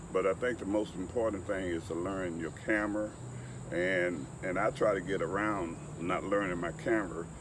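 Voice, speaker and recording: A man speaks in a Southern US accent at a very deep, low pitch and a moderate pace. Audible room echo surrounds his voice. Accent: US South. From Alabama, Mobile. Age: 70s. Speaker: photographer. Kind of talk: interview.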